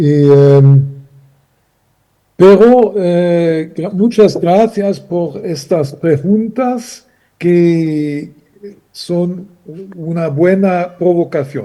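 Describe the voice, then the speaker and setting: Speaking at a very slow pace with long, frequent pauses, a man with a German accent has a high voice with a dark, mellow tone. His pitch moves in an ordinary way. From Germany. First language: German (speaking Spanish). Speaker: panelist. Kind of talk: panel discussion. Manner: halting.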